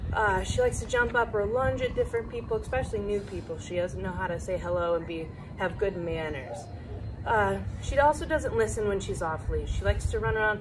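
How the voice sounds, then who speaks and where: Noticeable background noise fills the space behind a woman. She talks fairly quickly. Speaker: dog trainer. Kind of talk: explanatory talk to camera. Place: open country. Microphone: camera far.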